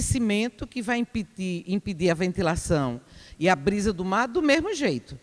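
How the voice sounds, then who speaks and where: A woman speaks with very wide pitch swings. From Brazil, Aracaju (Sergipe). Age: 60s. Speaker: resident speaking at public hearing. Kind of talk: public hearing comment. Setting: public hearing in a school.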